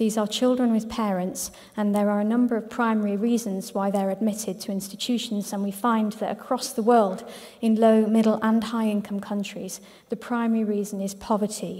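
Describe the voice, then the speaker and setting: Speaking at a fairly quick pace, a woman with a dark, mellow, somewhat breathy voice keeps a medium pitch in a monotone, flat intonation. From Ireland. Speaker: head of an international children's charity. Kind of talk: conference presentation. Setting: conference hall with audience. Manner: hesitant, many fillers.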